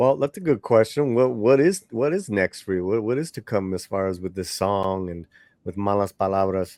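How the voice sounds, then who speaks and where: A man with a normal speaking voice and fairly low pitch speaks at a moderate pace with ordinary pitch variation, the sound dry and close with no echo against a quiet background. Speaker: interview host. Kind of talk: interview questions.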